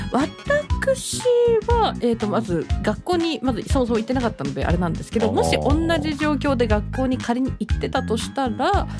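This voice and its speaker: Someone talks at a moderate pace with music in the background. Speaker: VTuber radio host. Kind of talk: casual talk show banter.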